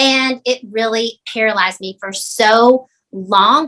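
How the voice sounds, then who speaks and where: A bright, sharp tone in a Southern US accent, with ordinary pitch variation. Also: woman. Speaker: real estate agent. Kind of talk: podcast interview.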